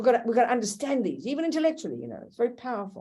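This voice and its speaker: With vocal fry running through her speech, a woman talks in a dark, mellow tone. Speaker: Buddhist nun teacher. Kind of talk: dharma teaching; casual chat. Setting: video call. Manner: fast; animated.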